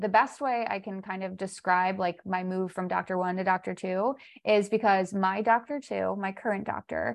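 A woman with an ordinary speaking voice, medium pitch, fairly even intonation and moderate pace, against a quiet background. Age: 30s. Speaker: holistic health coach. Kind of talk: casual chat.

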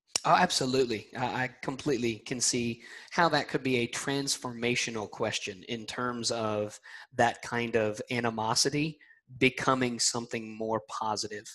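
Using a bright, sharp tone, a man with a Southern US accent talks at a medium pitch. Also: fairly even intonation, moderate pace. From US South, Alabama. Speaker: podcast host. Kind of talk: interview. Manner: friendly.

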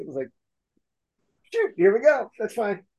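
Dark and mellow in tone, a man speaks with an American accent. His pitch swings very widely. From US Pacific Northwest. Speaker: podcast host. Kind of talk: casual chat.

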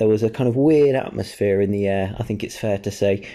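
A man with an English accent, dark and mellow in tone, at a fairly quick pace with ordinary pitch variation. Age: 20s. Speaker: podcast co-host. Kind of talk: casual chat.

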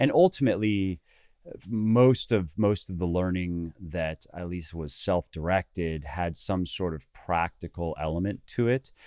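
The voice has a dark, mellow tone and ordinary pitch variation at a fairly slow pace. The sound is dry and close with no echo. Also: man, very deep, low pitch for a man. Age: 30s. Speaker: fitness author and coach. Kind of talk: interview. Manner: halting, many repetitions.

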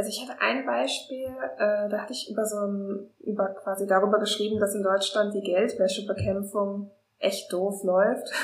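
Over audible room echo, a woman talks at a moderate pace with a medium pitch and fairly even intonation. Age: 20s. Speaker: freelance journalist. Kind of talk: casual chat.

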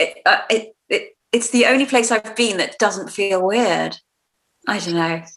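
A woman speaks in a British accent at a fairly high pitch. Her pace is fairly slow, with ordinary pitch variation. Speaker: podcast co-host. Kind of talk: casual chat.

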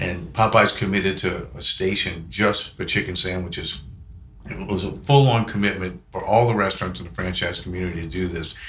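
The man's fairly low voice shows ordinary pitch variation, and the room echo is audible. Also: fairly quick pace. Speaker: business executive. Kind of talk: casual interview chat. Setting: studio.

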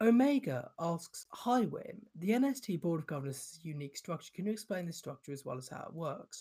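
A man with a British accent, a high pitch, a dark, mellow tone, very wide pitch swings and a moderate pace. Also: big swings in loudness. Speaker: podcast host. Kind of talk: Q&A session answering listener questions. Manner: casual, filler-heavy with frequent ums.

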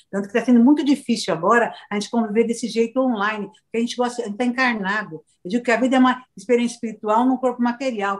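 Her pitch fairly high, a woman races along at a very fast pace with hardly any pauses. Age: 60s. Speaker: motivational speaker. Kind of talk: casual chat. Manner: animated.

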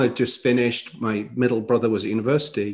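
The man's voice sits at a medium pitch, and the background is quiet. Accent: East Midlands. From northern England. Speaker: podcast host. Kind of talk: casual interview conversation.

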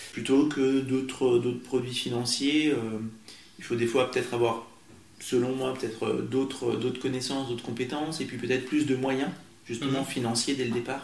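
Audible room echo surrounds a man at medium pitch. He speaks at a moderate pace with monotone, flat intonation. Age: 30s. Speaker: teacher and property investor. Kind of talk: interview. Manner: halting.

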